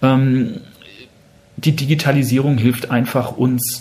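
A man with a dark, mellow tone and medium pitch speaks at a fairly slow pace, his voice somewhat breathy. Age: 50s. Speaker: museum managing director. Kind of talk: interview. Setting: in-person at the museum.

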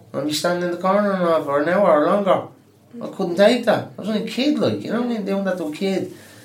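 A high-pitched man at a very fast pace, with audible room echo and noticeable background noise. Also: ordinary pitch variation. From Dublin, Ireland. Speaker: adult education student. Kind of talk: interview.

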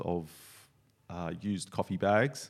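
A man with an Australian accent speaks at a very deep, low pitch and a fairly slow pace. The recording is very clean with a silent background. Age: 40s. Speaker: coffee roaster and skydiver. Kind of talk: casual chat.

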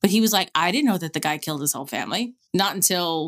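Speaking with an American accent, a woman uses a fairly low pitch and ordinary pitch variation. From New York City, Queens. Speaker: podcast co-host. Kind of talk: casual chat.

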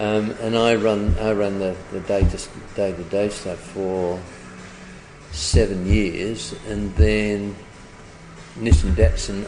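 Music plays in the background, and audible room echo fills the space. A man speaks with a fairly low pitch and fairly even intonation. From northern England, Leeds. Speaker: retired advertising executive. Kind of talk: interview. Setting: hotel pub.

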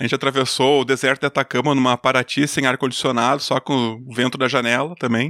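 A man's very fast speech with a southern Brazilian accent, hardly any pauses, monotone, flat intonation, and very even loudness, in a very clean, dry, close recording with no echo and a silent background. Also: medium pitch for a man. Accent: gaúcho accent, noticeable. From Brazil, Rio Grande do Sul (Júlio de Castilhos). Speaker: engineer and podcaster. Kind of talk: casual interview chat.

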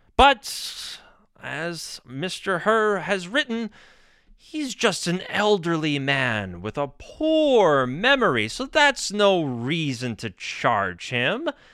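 Speaking very slowly with an American accent, a man with a high pitch and a bright, sharp tone makes very wide pitch swings on a very clean recording with a silent background. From New York State. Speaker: political talk radio host. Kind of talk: political commentary monologue.

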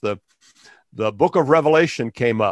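In a normal speaking voice, a man talks at a moderate pace with fairly high pitch and ordinary pitch variation, the sound dry and close with no echo against a quiet background. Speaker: pastor and education activist. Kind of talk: interview.

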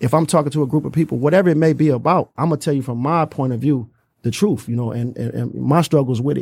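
A man talks at a very fast pace in a somewhat breathy voice. His pitch varies in an ordinary way. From Detroit. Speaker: youth boxing gym founder. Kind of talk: casual interview.

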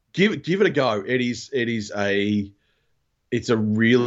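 This man has a medium pitch. He speaks with an Australian accent. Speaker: podcast guest, fellow podcaster. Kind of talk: casual chat. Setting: remote call from home recording room.

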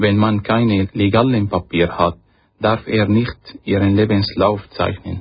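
With an Arabic accent, a man speaks at a fairly slow pace and fairly low pitch, somewhat breathy, his loudness very even and his intonation monotone and flat. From Syria. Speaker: refugee, marine engineer. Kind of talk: reading aloud. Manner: halting.

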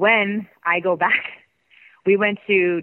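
With a Canadian accent, a woman uses an ordinary speaking voice at medium pitch with fairly even intonation. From Canada. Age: 40s. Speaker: former pro wrestler. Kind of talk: interview.

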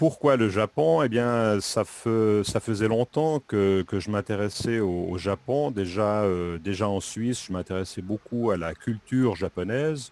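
A man's fairly low voice at a fairly slow pace, with ordinary pitch variation, hardly any pauses, and a dry, close sound with no echo. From French-speaking Switzerland, Lausanne region. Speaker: French teacher. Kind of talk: interview. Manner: halting, many hesitations.

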